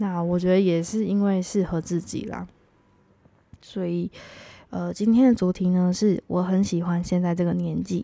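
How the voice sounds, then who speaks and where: At a moderate pace, a woman with medium pitch and a dark, mellow tone speaks in a monotone, flat way with long, frequent pauses, recorded very cleanly against a silent background. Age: 30s. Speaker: podcast host. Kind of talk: solo podcast monologue.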